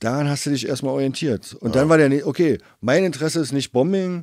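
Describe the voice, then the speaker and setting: Here a man speaks at a fairly quick pace in an unremarkable speaking voice, pitched fairly high. The recording is very clean, with a silent background. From East Berlin (Treptow). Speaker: graffiti writer. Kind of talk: casual chat.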